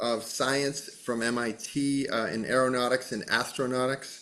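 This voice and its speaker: Fairly even in intonation, a man talks at a fairly slow pace with an American accent. His voice, medium in pitch, is an unremarkable speaking voice. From western Massachusetts. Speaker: podcast host. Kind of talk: casual interview.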